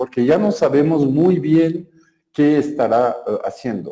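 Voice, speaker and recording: A fairly slow, fairly high male voice, dark and mellow in tone, in a French accent. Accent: French-speaking accent in Spanish. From Belgium. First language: French (speaking Spanish). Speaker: software developer, conference speaker. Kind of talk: technical talk. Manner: hesitant, many filler sounds.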